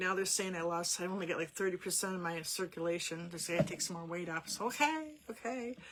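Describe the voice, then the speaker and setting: This woman's voice sits at a medium pitch with ordinary variation, moving at a fairly quick pace over noticeable background noise. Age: 60s. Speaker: art teacher, paint party host, former hairdresser. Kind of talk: casual chat during a live online art class. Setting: live online video group. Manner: conversational, rambling with fillers.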